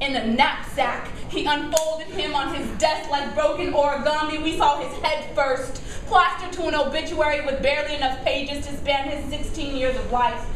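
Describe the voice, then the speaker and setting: A woman speaks at a moderate pace with a high pitch and fairly even intonation. She leaves hardly any pauses, and noticeable background noise is present. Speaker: poet; teacher. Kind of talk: live slam poetry performance. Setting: live venue, audience.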